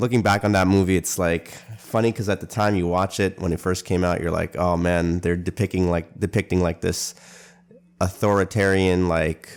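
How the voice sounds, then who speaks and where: A man with a Canadian accent speaks at a very deep, low pitch. His intonation is monotone and flat. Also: moderate pace. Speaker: podcast host. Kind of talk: casual monologue podcast. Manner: hesitant, many fillers.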